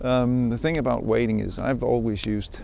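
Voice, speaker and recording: This is a man speaking in a Danish accent. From Denmark. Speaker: fly fishing podcaster. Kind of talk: casual outdoor monologue. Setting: outdoors by the water. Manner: halting, many fillers. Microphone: handheld recorder with zipper clicks and phone noise.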